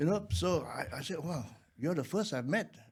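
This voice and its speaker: At a fairly quick pace, a man with a fairly high pitch and vocal fry makes very wide pitch swings. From Malaysia. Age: 60s. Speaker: actor. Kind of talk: casual chat. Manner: halting.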